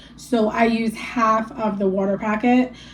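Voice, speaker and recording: Over music in the background, a woman talks in a fairly high voice. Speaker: lifestyle vlogger. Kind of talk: casual sit-down talk to camera. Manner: casual, filler-heavy, with some stumbling.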